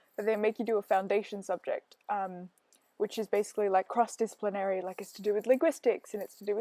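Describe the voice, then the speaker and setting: A woman with an Australian accent talks at a very fast pace in a dark, mellow tone at a fairly high pitch. The sound is dry and close, with no echo. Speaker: gaming video creator. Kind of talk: casual gameplay voiceover. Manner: chatty, rambling with fillers.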